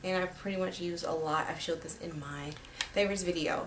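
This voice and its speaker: A woman talks quietly at a very fast pace, with a fairly low pitch and fairly even intonation, amid noticeable background noise and audible room echo. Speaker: beauty vlogger. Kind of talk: makeup tutorial. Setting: home at night. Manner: speaking quietly; casual, filler-heavy.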